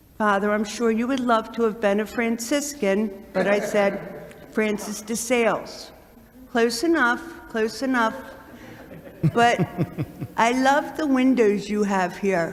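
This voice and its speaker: A woman's fairly high voice with ordinary pitch variation, fairly slow and broken by long, frequent pauses, amid noticeable background noise and audible room echo. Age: 60s. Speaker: nun and community center co-founder. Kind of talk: address to a church congregation. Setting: church. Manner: animated, repetitive emphasis.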